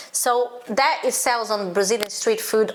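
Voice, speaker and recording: A woman speaks at a moderate pace and a fairly high pitch over noticeable background noise. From Brazil, Minas Gerais. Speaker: channel host, cook. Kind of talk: casual interview. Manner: animated.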